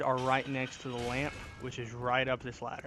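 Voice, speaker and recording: A man speaks at medium pitch with noticeable background noise. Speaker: gaming YouTuber. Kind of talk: gameplay tutorial commentary. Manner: casual, with filler words.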